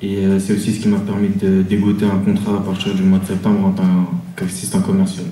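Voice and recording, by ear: In a room with audible echo, a man speaks fast in a low pitch with a dark, mellow tone and monotone, flat intonation.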